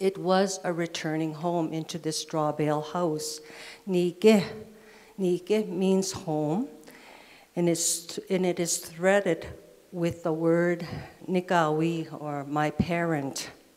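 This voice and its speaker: A woman talks very slowly in a fairly low voice while noticeable background noise carries on. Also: fairly even intonation. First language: Cree. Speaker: poet. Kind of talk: keynote talk.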